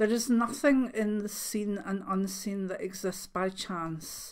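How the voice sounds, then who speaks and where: A woman with a Scottish accent speaks at a fairly slow pace and a fairly high pitch. The recording is very clean, with a silent background. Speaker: clairvoyant. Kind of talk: reading aloud. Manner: soft-spoken; halting.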